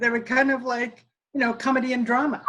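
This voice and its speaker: A woman speaks in a raised, projected voice at a fairly quick pace. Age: 70s. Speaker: stage actress. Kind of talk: casual reunion chat.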